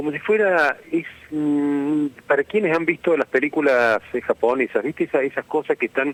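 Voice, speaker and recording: A man with a Córdoba Argentine accent, moderate pace and ordinary pitch variation, in a dry, close sound with no echo. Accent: Cordoba Argentine Spanish. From Argentina, Córdoba. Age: 60s. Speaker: architect and lecturer. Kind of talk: radio interview. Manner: halting, with many fillers and restarts.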